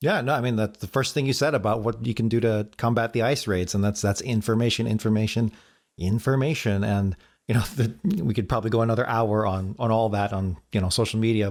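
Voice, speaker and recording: The recording is very clean, with a silent background. A man speaks very fast at a medium pitch with ordinary pitch variation. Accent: American. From Chicago. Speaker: podcast host. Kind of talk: interview.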